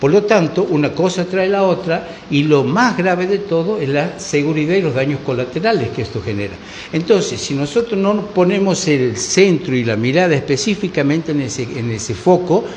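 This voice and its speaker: Noticeable background noise accompanies a man whose high voice carries lively intonation at a moderate pace. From Argentina. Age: 60s. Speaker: political commentator. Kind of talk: panel discussion. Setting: bar.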